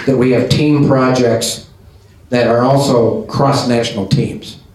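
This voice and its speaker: At a fairly slow pace, a man talks with a medium pitch. Audible room echo and noticeable background noise surround him. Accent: Midwestern American. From US Midwest. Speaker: business association president. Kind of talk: closing remarks at a business event.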